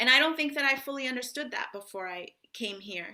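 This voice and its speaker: Bright and sharp in tone, a woman with an American accent speaks at a very fast pace. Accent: sounds very American. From international upbringing in Africa and Europe (Ghana, Tanzania, Italy, Ethiopia, Uganda). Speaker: author. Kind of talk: author talk and Q&A. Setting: library event with audience Q&A.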